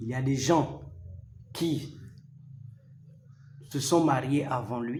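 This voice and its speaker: Heard with audible room echo, a man speaks at a very slow pace with fairly high pitch. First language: not French, a local mother tongue (speaking French). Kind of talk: religious teaching talk to camera. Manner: formal.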